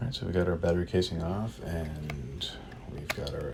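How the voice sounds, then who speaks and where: Over noticeable background noise and audible room echo, a man speaks with a very deep, low pitch. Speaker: toy collector YouTuber. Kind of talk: unboxing video. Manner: casual, hesitant with fillers.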